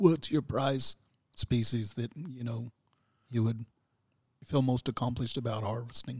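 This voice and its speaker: Somewhat breathy and at a medium pitch, a man speaks with long, frequent pauses, the sound dry and close with no echo on a very clean recording with a silent background. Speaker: podcast co-host. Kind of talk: casual interview.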